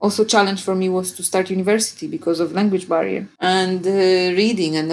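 A woman of medium pitch with a Polish accent, at a moderate pace. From Poland. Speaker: podcast guest, digital marketer and home cook. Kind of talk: casual interview chat. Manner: energetic, straightforward.

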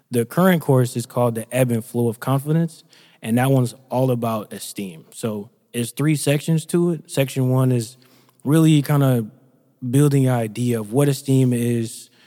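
On a very clean recording with a silent background, a man speaks at medium pitch and a moderate pace, his tone dark and mellow and his pitch varying in an ordinary way. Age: 20s. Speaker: entrepreneur and speaker. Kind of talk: casual podcast interview.

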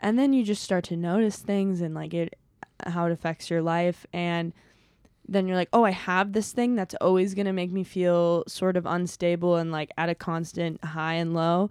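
A woman speaks at a moderate pace in a normal speaking voice, fairly low in pitch with fairly even intonation, the sound dry and close with no echo over a quiet background. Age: 20s. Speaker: stand-up comedian. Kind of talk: casual chat.

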